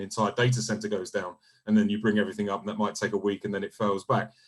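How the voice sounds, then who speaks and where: Man at a very fast pace, with a fairly low pitch and monotone, flat intonation. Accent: British. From UK. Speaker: solution engineering team lead. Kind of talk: webinar panel discussion. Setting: video call.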